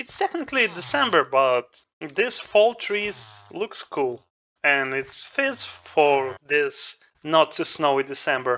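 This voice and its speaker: The speaker, with a non-native accent, talks at a very slow pace. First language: not English. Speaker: gaming youtuber. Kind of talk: gameplay commentary. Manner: halting.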